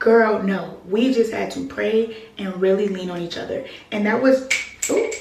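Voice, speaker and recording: Moderate pacing from a woman, plus audible room echo and noticeable background noise. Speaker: lifestyle vlogger. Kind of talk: casual vlog chat. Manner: loud; animated.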